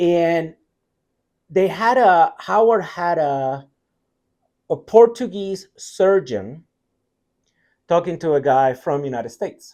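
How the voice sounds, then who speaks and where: In a Puerto Rican accent, a man with a high pitch and a dark, mellow tone speaks at a very slow pace, with lively intonation and long, frequent pauses, on a very clean recording with a silent background. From Puerto Rico. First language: Spanish. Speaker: tech company CTO. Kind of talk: interview conversation.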